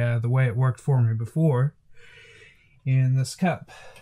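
A tired-sounding man with a Southern US accent, medium pitch, fairly even intonation and a moderate pace. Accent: Southern US rural. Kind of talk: casual talk to camera. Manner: tired, low-energy.

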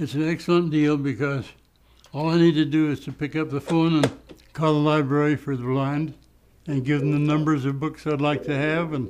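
Fairly high and monotone, a man's voice moves at a fairly quick pace with flat intonation. Light background noise sits behind him. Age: 90s. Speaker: elderly blind library patron. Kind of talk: interview answer. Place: home room.

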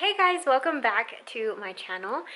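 The tone of this woman's voice is bright and sharp. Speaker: beauty vlogger. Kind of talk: casual vlog chat. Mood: cheerful, light. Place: home room. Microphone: phone near.

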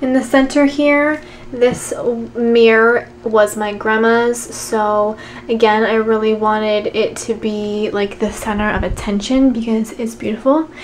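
Over light background noise, a woman talks at a fairly slow pace with fairly even intonation. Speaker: room tour vlogger. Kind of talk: casual vlog chat. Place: home room.

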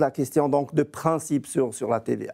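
Against a quiet background, a man with a fairly high pitch talks at a moderate pace in a dark, mellow tone with vocal fry. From eastern Switzerland near Austria. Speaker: federal price regulator. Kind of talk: TV panel debate. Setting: remote video link from Bern. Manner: halting, many repetitions. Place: studio. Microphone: lapel.

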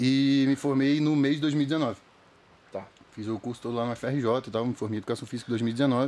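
A normal speaking voice from a man, medium in pitch, at a moderate pace with fairly even intonation. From Rio de Janeiro state, Brazil (Itaipuaçu, near Niterói). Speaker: comedian impersonator. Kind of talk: casual chat.

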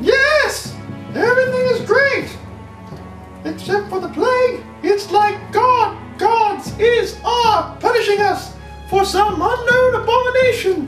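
In a cartoonish character voice, the speaker goes at a fairly slow pace over clear music in the background. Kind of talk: comedic puppet play. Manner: casual.

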